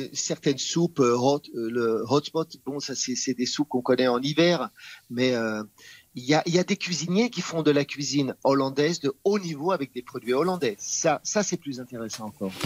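The man has a plain, everyday voice. His pitch is fairly high, with ordinary pitch variation. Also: moderate pace. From France. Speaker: chef and TV personality. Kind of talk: interview.

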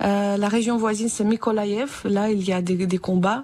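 Speaking with a Ukrainian accent, a woman talks at a fairly slow pace in a fairly high pitch with ordinary pitch variation. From Ukraine, Vinnytsia. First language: Ukrainian (speaking French). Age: 30s. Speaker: musician and French teacher, war refugee. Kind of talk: radio interview. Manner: halting, with many hesitations.

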